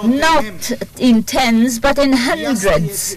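A woman speaks at a very slow pace with a high pitch and lively intonation. The sound is dry with no echo, over light background noise. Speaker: court interpreter. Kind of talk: testimony. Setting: courtroom. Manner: formal. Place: hall.

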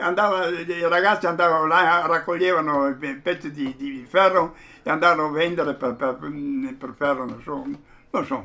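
The voice has a bright, sharp tone and moves at a moderate pace. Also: man. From Fiume (Rijeka), Croatia; Croatia. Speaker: witness interviewee; witness. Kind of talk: oral history interview. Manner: halting, repeats words. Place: home room.

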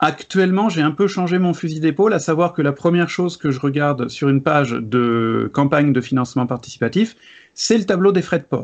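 Against a quiet background, a man with a fairly high pitch speaks at a fairly quick pace, his intonation lively and his loudness very even. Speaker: board game video creator. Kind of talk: casual debate. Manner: energetic. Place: home room.

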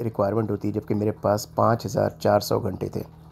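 A man with a dark, mellow tone and a fairly low pitch speaks at a moderate pace. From Pakistan, Karachi. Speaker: YouTuber. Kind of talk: casual vlog monologue.

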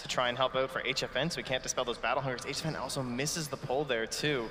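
A man talks at a very fast pace in a medium pitch over noticeable background noise. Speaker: esports commentator. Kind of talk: live esports commentary. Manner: animated, casual, laughing.

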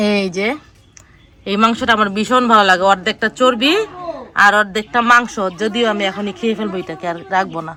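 In a plain, everyday voice, a woman talks at a mid-range pitch, her pitch varying in an ordinary way. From Bangladesh, village of Rasulpur. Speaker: family vlogger. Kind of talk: casual vlog narration. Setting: outdoors in home village.

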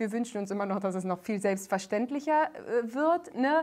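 A woman with a fairly high pitch and lively intonation at a fairly quick pace, over a quiet background. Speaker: singer and comedian, guest. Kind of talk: casual talk show conversation. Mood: emotional, earnest storytelling. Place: studio.

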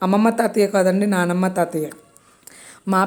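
The speaker is a woman. Her pitch is medium. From Konaseema, Andhra Pradesh. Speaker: family vlogger. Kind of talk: casual vlog narration.

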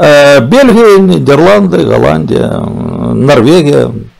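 Very slow speech against a quiet background. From southern Ukraine. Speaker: streamer. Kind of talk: casual chat. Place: home room.

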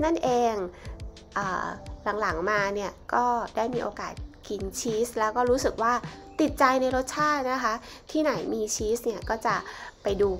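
A woman's voice shows ordinary pitch variation, with faint music in the background. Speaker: travel vlogger. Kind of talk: casual vlog chat. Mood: cheerful, light. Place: cafe.

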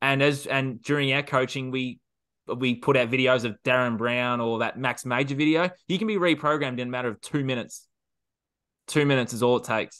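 With an Australian accent, a man talks at a fairly quick pace in a bright, sharp tone with fairly even intonation against a quiet background. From Australia, regional Victoria. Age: 20s. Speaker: self sabotage coach. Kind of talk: roundtable discussion. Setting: video call. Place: home room. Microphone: video call.

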